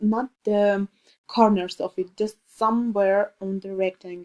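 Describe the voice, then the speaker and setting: Fairly high-pitched woman with an Armenian accent, slow-paced, in a dark, mellow tone. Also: dry, close sound with no echo. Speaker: student. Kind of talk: tutorial. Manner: halting.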